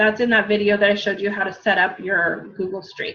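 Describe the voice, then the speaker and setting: A woman with a fairly high pitch and an American accent speaks in a bright, sharp tone. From US West, Southern California. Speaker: fitness coach. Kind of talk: tutorial.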